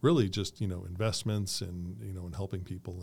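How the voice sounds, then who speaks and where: A man with an American accent and a very deep, low pitch speaks at a fairly quick pace, somewhat breathy and with fairly even intonation, on a very clean recording with a silent background. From Colorado. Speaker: real estate agent. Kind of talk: casual interview.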